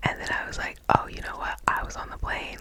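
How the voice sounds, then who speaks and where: Whispering at a fairly quick pace, a woman speaks. Noticeable noise sits in the background. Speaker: ASMR creator. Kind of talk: ASMR whispering, casual rambling about everyday life. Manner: whispered, soft, chatty.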